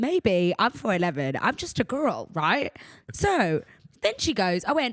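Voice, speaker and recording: Vocal fry runs through this woman's speech as her pitch swings very widely. She talks at a fairly slow pace. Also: fairly high pitch for a woman. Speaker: podcast host. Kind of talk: casual chat. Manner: loud; animated.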